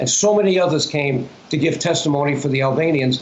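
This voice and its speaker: At a moderate pace, a man speaks with a fairly high pitch and ordinary pitch variation. Noticeable background noise and audible room echo surround him. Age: 80s+. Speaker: former politician and activist. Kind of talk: interview. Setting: phone call.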